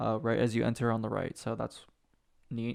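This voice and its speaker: A man is speaking at a moderate pace. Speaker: gaming youtuber. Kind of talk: reading patch notes with commentary. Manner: stuttering, halting; casual, conversational.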